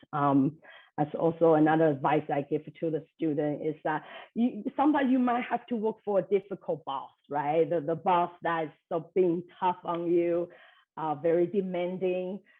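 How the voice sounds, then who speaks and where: A woman with a non-native accent speaks at a moderate pace and a fairly low pitch, with ordinary pitch variation. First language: not English. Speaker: business leader, speaker. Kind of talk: lightning talk presentation. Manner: many fillers, hesitant.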